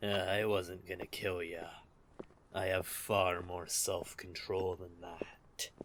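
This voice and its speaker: This man uses a put-on character voice that is raspy and very deep in pitch. He talks at a fairly slow pace. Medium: audio drama. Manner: teasing, smug, laughing.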